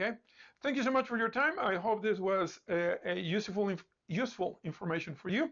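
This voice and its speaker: A high-pitched man's voice with a non-native accent, lively intonation, and a fairly quick pace. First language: not English. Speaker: instructor and founder of a coding school. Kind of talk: live-streamed talk. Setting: Facebook live stream. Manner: hesitant, many fillers and repetitions.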